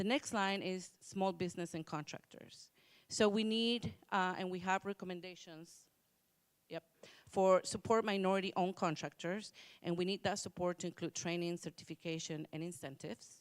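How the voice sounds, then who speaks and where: A woman's plain, everyday voice at medium pitch, moderate in pace and fairly even in intonation, with a dry, close sound and no echo. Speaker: commission workgroup presenter. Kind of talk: public hearing presentation.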